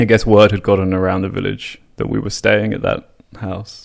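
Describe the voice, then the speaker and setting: A man speaks with an English accent. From England. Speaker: podcast host. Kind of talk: casual storytelling. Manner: animated.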